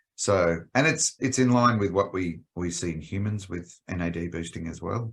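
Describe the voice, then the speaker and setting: Over a silent background, a man speaks with an Australian accent. The very clean recording carries his ordinary pitch variation. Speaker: animal health company executive. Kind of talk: podcast interview.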